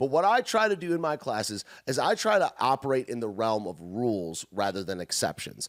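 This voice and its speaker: On a very clean recording with a silent background and a dry, close sound with no echo, a man at medium pitch speaks in an animated tone with very wide pitch swings. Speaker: music teacher. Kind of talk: lecture. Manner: fast.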